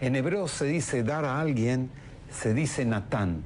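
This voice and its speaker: A man speaks at a medium pitch. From Argentina. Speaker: politician. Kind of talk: TV interview.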